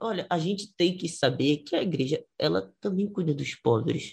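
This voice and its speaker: A man at a moderate pace, high in pitch. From Brazil, Pernambuco. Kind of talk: casual history discussion.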